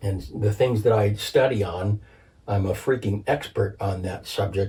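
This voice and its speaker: Somewhat breathy and fairly low-pitched, a man speaks at a moderate pace with a dark, mellow tone and fairly even intonation. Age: 60s. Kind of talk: casual chat. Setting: home recording.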